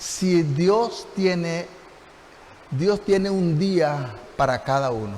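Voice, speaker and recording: In a room with audible echo, a man speaks at a high pitch with lively intonation. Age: 60s. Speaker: pastor. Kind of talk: sermon.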